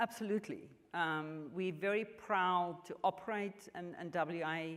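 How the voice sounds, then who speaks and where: Speaking at a fairly slow pace, a woman at a medium pitch shows ordinary pitch variation and big swings in loudness. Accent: strong South African. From South Africa, rural farm. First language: Afrikaans. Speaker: mining company executive. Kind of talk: onstage interview. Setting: stage at business luncheon with audience. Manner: halting, with many fillers.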